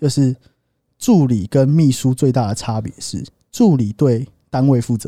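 At a fairly slow pace with long, frequent pauses, a man talks with ordinary pitch variation in a dry, close sound with no echo. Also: medium pitch for a man. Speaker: podcast co-host. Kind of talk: casual chat. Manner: animated.

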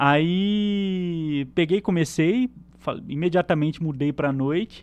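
This man's voice sits fairly high in pitch, and he talks very slowly. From Brazil, interior of São Paulo (Penápolis). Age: 20s. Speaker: electronic security specialist. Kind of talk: casual chat.

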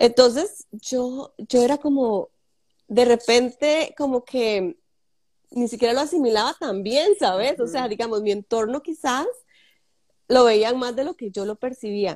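The speech comes at a fairly slow pace with ordinary pitch variation and a dry, close sound with no echo. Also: woman, high pitch for a woman. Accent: Costa Rican. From Costa Rica, Samara in Guanacaste. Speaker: fashion designer. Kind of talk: interview.

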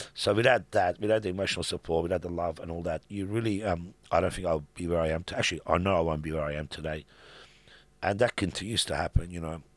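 A man talks at a very fast pace in a very deep, low pitch. His intonation is fairly even, on a very clean recording with a silent background. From Iran. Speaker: business founder and philanthropist. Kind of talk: interview conversation. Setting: studio. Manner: hesitant, many fillers.

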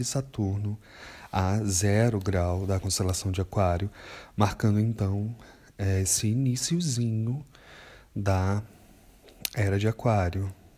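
In a dark, mellow, somewhat breathy voice, a man speaks very slowly with fairly low pitch and ordinary pitch variation, on a very clean recording with a silent background. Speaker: astrologer. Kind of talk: monologue podcast.

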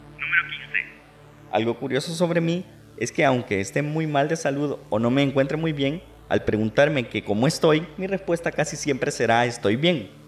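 This man has a plain, everyday voice with a fairly high pitch. He speaks at a moderate pace with ordinary pitch variation. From El Salvador. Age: 20s. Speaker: podcast host and radio announcer. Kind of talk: personal monologue.

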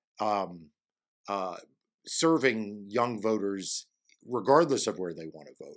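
An American-accented man's medium-pitched voice, bright and sharp in tone, with lively intonation, on a very clean recording with a silent background. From New York. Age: 50s. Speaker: election lawyer and podcast host. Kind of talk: casual chat.

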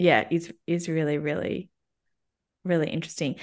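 A woman speaks at a moderate pace in a fairly low voice against a quiet background. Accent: Australian. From Melbourne, Australia. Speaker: coach and people and culture expert. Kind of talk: casual interview chat.

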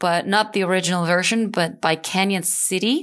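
In a very clean recording with a silent background, a woman uses an ordinary speaking voice at medium pitch with ordinary pitch variation. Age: 40s. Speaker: ocean rower. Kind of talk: interview.

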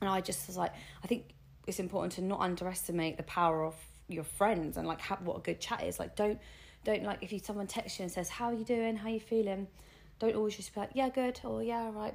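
The speaker has an English accent and an animated tone. The pace is fairly quick, with ordinary pitch variation. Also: woman. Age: 30s. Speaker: podcast co-host. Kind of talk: casual chat.

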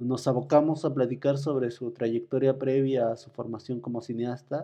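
Speaking fairly slowly, a man with a dark, mellow tone and medium pitch shows ordinary pitch variation. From Mexico, State of Mexico, Temoaya region. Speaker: podcast host. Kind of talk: interview; scripted narration.

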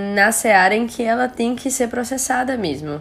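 Speaking with a Brazilian accent, a woman uses lively intonation at a moderate pace. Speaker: medical doctor. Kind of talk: interview.

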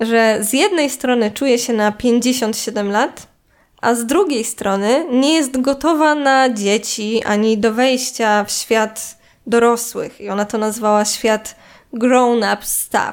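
A woman speaks very slowly in a high pitch with ordinary pitch variation. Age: 20s. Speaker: podcaster. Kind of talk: solo monologue.

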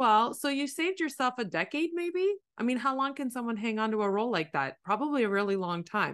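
Over a quiet background, a woman with a Canadian accent talks at a fairly quick pace, her pitch swinging very widely. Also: fairly high pitch for a woman. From Canada, Ontario. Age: 40s. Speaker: life coach. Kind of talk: coaching conversation. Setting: call.

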